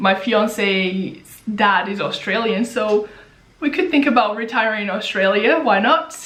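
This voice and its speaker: Noticeable background noise surrounds this recording. A woman speaks at a fairly slow pace. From Brazil. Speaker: personal finance YouTuber. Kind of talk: Q&A casual vlog.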